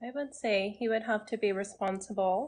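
Over light background noise, a woman with a fairly high pitch speaks in a Southern Californian accent. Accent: Valley girl American. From US Southwest (Arizona). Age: 20s. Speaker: dating show participant, real estate agent. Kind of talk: casual chat. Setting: video call on a livestream. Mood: relaxed, friendly. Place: home room. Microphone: phone near.

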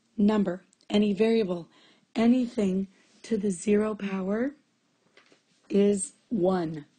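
Her pitch fairly high, a woman speaks in a dark, mellow tone that is somewhat breathy. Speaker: math teacher. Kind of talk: tutorial. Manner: casual, conversational.

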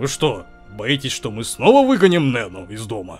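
A man performs a put-on character voice at medium pitch, with lively intonation. His loudness swings widely, and faint music plays in the background. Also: moderate pace.

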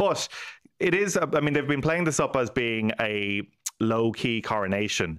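Lively intonation from a man with an Irish accent, against a quiet background. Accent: Irish (Clare). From Ireland, County Clare; Ireland. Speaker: news correspondent and podcast host; news correspondent, podcast host. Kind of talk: casual news chat. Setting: studio. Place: studio. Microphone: studio mic.

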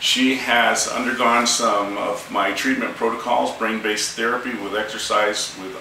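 Over light background noise and audible room echo, a man talks at a fairly slow pace. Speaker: chiropractor. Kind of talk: interview questions to patient. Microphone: camera far.

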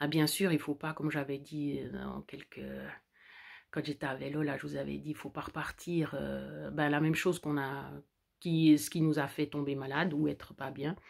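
Quiet background, with a woman talking at a moderate speed. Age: 40s. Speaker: vlogger. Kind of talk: personal vlog monologue. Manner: halting. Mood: warm, content, reflective. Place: home room. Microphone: phone near.

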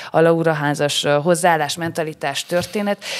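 The voice keeps a fairly even intonation over a quiet background. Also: woman. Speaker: podcast host. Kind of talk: casual interview. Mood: friendly, playful. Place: studio. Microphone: studio mic.

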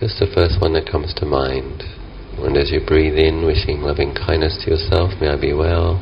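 Against light background noise, a man talks at a moderate pace in a very deep, low pitch with ordinary pitch variation. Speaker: meditation teacher. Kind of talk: guided meditation. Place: garden.

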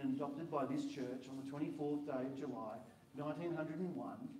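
A man talks at a very fast pace with ordinary pitch variation. Audible room echo and light background noise fill the recording. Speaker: minister leading the induction. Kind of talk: formal liturgical questions. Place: hall. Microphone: handheld.

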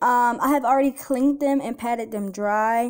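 A woman's high-pitched, dark and mellow voice at a moderate pace, with ordinary pitch variation. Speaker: home cook vlogger. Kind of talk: casual vlog tutorial. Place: kitchen. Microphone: phone near.

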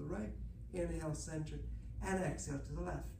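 A man is speaking. Noticeable noise sits in the background. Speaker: Pilates instructor. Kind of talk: bilingual exercise class, guided instruction. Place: gym. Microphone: camera far.

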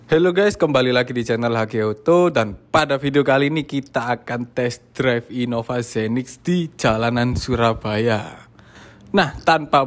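The speaker is a man with ordinary pitch variation. He goes at a moderate pace. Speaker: presenter. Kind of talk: casual car review walkaround. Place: street. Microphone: phone near.

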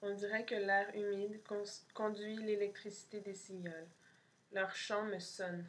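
A deadpan tone, a very slow pace and flat, monotone intonation. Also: woman. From Montreal, Quebec. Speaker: poet and artist reading own zine. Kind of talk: poem reading, multilingual French, English and Spanish. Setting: pre-recorded video for an event. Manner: slow, dreamy, contemplative; measured pauses, deadpan lists. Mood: calm, soft, intimate. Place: home room. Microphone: webcam.

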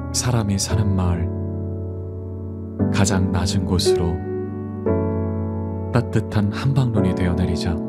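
A man at a very slow pace, with long, frequent pauses and loud background noise. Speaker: poetry reader. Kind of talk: poetry reading. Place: studio. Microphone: studio mic.

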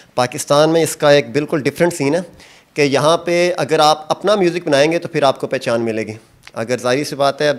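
Using an unremarkable speaking voice, a man talks at a moderate pace and a fairly high pitch with ordinary pitch variation. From Pakistan, rural Punjab. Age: 30s. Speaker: singer and charpai weaver; interviewee. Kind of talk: casual interview. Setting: outdoors in a village. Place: workshop. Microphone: handheld.

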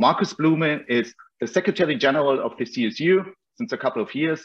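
A man speaks with a German accent in a fairly high pitch. His intonation is lively and his pace moderate. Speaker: foundation representative. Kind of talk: opening remarks. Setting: video call. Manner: hesitant, frequent yeah fillers. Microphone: video call.

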